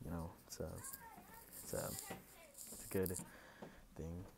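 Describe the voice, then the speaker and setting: A soft-spoken man talks in a very deep, low voice. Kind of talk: casual talk to camera, ASMR.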